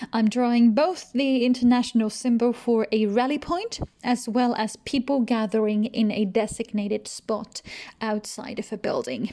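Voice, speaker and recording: Speaking with a non-native accent and a dark, mellow tone, a woman uses a fairly high pitch, fairly even intonation and a moderate pace. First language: not English. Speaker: researcher and comic illustrator. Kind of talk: tutorial.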